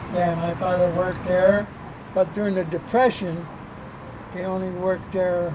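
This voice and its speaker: A man's high, monotone, flat voice in an American accent, fairly slow, with audible room echo and noticeable background noise. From western New York (Lackawanna, near Buffalo). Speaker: oral history interviewee. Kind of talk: interview. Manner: halting.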